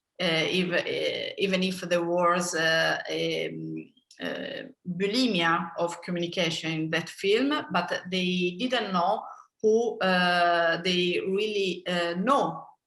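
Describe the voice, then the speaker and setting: A woman speaks very slowly at a medium pitch, with ordinary pitch variation. Audible room echo is in the recording. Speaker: film director. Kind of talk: interview. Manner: halting.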